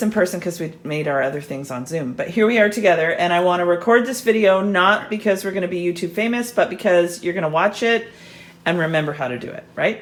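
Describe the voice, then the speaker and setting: This woman talks at a fairly quick clip with lively intonation and a medium pitch. She has a plain, everyday voice. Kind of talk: casual cooking instruction.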